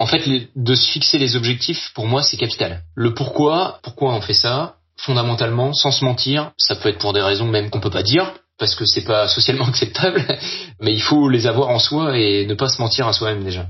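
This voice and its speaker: Here a man speaks at a moderate pace. His pitch sits in the medium range with ordinary variation. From Brittany, France (Brest). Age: 30s. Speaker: adventurer, workplace safety officer. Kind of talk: testimony. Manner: halting.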